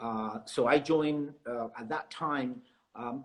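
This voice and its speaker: In a Spanish accent, a man talks fairly slowly. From South America. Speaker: realtor. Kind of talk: interview.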